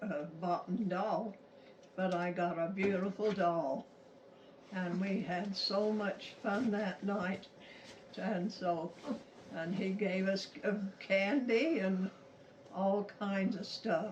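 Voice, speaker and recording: A woman at a very slow pace with long, frequent pauses, amid noticeable background noise. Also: medium pitch for a woman, fairly even intonation. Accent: American. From Utah, USA. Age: 80s+. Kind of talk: family storytelling to camera.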